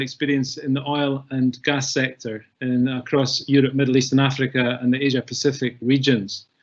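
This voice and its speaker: A man with a Scottish accent talks at a fairly quick pace with hardly any pauses. His medium-pitched voice has monotone, flat intonation. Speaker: webinar host. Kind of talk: webinar moderation.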